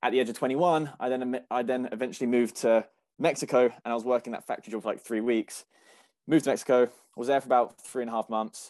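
In a British accent, a man speaks at a very fast pace and a medium pitch with fairly even intonation. The sound is dry and close with no echo, against a quiet background. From UK. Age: 20s. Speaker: agency owner and program student. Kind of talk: interview.

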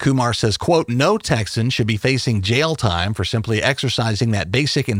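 Over a silent background in a very clean recording, a man with a fairly low pitch talks at a fairly quick pace. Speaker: podcast host. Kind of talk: news reading. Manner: formal; brisk.

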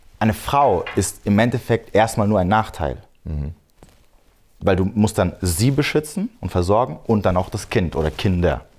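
In an unremarkable speaking voice, a man talks at a moderate pace with fairly low pitch and lively intonation. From Germany, Frankfurt am Main area. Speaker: dating and red pill content creator. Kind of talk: podcast interview.

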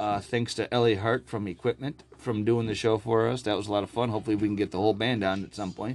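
A man's unremarkable speaking voice at a medium pitch, with fairly even intonation. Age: 40s. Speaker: podcast host. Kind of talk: casual chat. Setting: studio.

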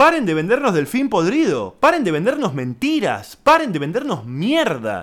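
Here a man talks in a Rioplatense accent with an animated tone. His pace is fairly slow, and his pitch swings very widely. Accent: Argentine Rioplatense Spanish. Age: 30s. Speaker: podcast host, comedian. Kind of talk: casual monologue. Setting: home.

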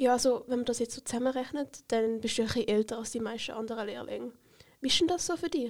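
A woman talks at a very fast pace in a high voice with ordinary pitch variation. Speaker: podcast host, apprentice. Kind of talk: casual interview. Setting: studio.

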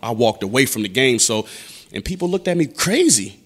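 Lively intonation runs through a man's speech in an American accent. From Buffalo, New York (East Side). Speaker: rapper. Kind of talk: casual interview chat.

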